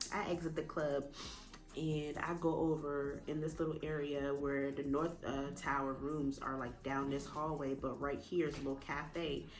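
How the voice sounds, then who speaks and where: Over music in the background, a woman with a very deep, low pitch speaks at a moderate pace in a monotone, flat intonation. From Jamaica. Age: 20s. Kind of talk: casual storytime talk to camera.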